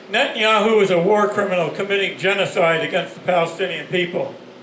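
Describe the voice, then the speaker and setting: Speech at a moderate pace with ordinary pitch variation, noticeable background noise and audible room echo. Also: man. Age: 80s+. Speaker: activist, rally organizer. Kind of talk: rally speech. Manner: halting, repeats words.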